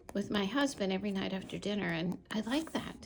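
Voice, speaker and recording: A woman talks at a moderate pace and medium pitch with ordinary pitch variation. Vocal fry is present in her voice. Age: 60s. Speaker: planner and journaling YouTuber. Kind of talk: casual product flip-through.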